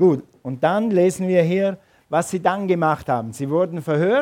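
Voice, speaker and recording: Speaking at a moderate pace, a man with a dark, mellow tone uses ordinary pitch variation. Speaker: pastor. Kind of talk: sermon. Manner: animated.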